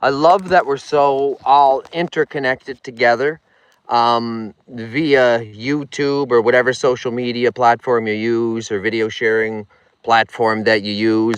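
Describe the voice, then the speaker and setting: Recorded with a dry, close sound and no echo, the speech keeps a moderate pace. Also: man. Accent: strong Nova Scotian. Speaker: vlogger. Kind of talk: live stream chat. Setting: outdoors on a lake. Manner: casual, repetitive.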